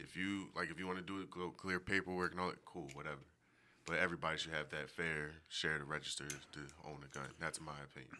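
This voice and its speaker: A man speaks very fast with a very deep, low pitch. The tone is bright and sharp, with vocal fry. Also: fairly even intonation. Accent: American. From US Northeast, Philadelphia. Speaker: podcast guest. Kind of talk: casual chat.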